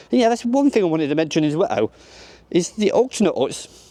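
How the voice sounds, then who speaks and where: Lively intonation marks a man's voice, heard dry and close with no echo. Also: quiet background. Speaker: theme park vlogger. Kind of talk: casual vlog walkthrough. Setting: outdoors at a theme park. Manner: fast.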